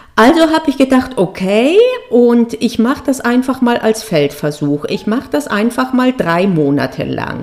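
Against noticeable background noise, a woman speaks at a moderate pace in a fairly high pitch with very wide pitch swings. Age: 40s. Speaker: podcast host and exam coach, former law professor. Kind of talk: solo podcast monologue. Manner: casual with frequent hesitations.

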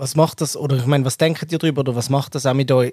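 Very fast, monotone speech with flat intonation comes through somewhat breathy. The sound is dry and close, with no echo. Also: man. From Switzerland. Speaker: podcast host. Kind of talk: casual discussion.

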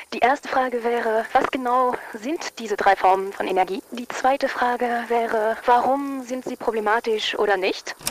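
Noticeable background noise sits behind a woman speaking at a moderate pace. Her pitch is fairly high, with ordinary pitch variation. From Luxembourg. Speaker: listener sending in a question. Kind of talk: recorded voice message.

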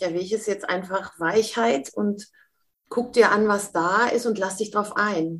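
Speaking at a fairly slow pace, a woman uses a medium pitch and ordinary pitch variation in an unremarkable speaking voice. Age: 50s. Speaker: mentor and speaker. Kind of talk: interview.

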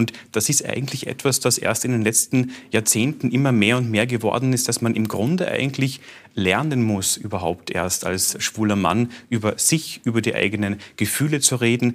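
A man at a medium pitch, talking at a moderate pace. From Carinthia, Austria. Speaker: radio host and author. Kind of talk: talk show conversation.

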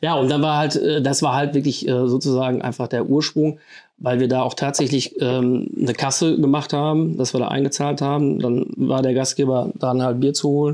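Against a quiet background, a man talks at a moderate pace with a dark, mellow tone, fairly even intonation and a fairly high pitch. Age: 50s. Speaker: rock music club board member. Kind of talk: casual chat.

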